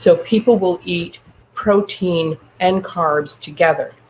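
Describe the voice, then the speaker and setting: A voice with an American accent comes through over noticeable background noise. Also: woman. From Northern California. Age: 70s. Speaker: entrepreneur. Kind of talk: interview. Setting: radio show.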